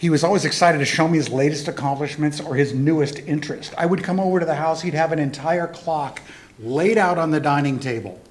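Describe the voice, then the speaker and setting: Over noticeable background noise, a man speaks very fast in a fairly high pitch with ordinary pitch variation. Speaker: eulogy speaker, friend of the deceased. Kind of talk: eulogy at memorial service.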